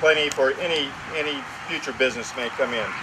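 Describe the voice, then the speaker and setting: The man's delivery is fairly quick. Background noise is noticeable throughout. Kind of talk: ceremony speech. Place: open country. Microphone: podium.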